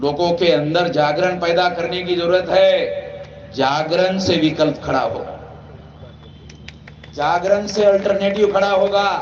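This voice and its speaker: A man's high-pitched voice with fairly even intonation and long, frequent pauses, plus audible room echo and noticeable background noise. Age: 60s. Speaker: activist leader. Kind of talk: political speech. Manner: loud.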